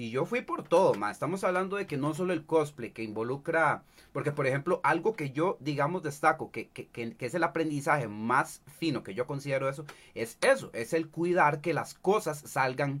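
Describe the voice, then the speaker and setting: A man talks with a Costa Rican accent at a moderate pace. His fairly high voice carries lively intonation. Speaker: streamer and cosplayer. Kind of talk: casual chat. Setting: livestream.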